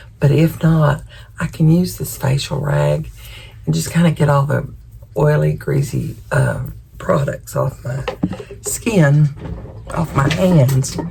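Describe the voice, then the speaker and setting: Pausing long and often, a woman speaks at a very slow pace over noticeable background noise. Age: 70s. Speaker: lifestyle vlogger. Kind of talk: casual chat. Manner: casual, with fillers.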